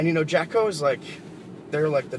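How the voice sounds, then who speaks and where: Lively intonation runs through this man's speech despite noticeable background noise. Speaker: car reviewer. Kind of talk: casual vlog while driving. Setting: in a car. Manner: hesitant, many fillers.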